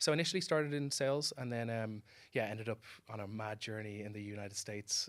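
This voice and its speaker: At a very fast pace, a man with a medium-pitched voice talks in an Irish accent. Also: very clean recording, silent background. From Ireland, Dublin. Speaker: entrepreneur. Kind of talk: interview.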